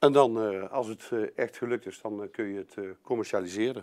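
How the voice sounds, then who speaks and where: A man's intonation stays fairly even, and the background is quiet. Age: 50s. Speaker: construction company sales manager; presenter. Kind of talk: business presentation. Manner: halting, many filler sounds. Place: meeting room.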